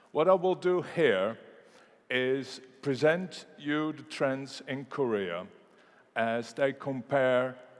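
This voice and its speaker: A man with a Dutch accent speaks at a very slow pace. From Netherlands (Rotterdam). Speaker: economist. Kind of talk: conference keynote. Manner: halting with fillers.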